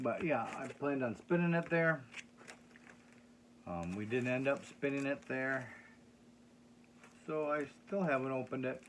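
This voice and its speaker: Someone with a Minnesotan accent talks at a moderate pace, with long, frequent pauses. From Minnesota, US Upper Midwest. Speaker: record collector. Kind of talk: casual vlog. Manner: halting, many fillers.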